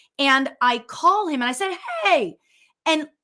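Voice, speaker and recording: In a raised, projected voice, a woman speaks with a bright, sharp and animated tone, her pitch swinging very widely. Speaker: spiritual medium. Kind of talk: casual storytelling on live show.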